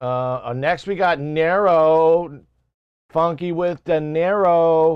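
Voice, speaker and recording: A man's fairly high voice, very slow pace and fairly even intonation. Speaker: music production streamer giving feedback. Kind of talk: live stream commentary. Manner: casual, hesitant with fillers.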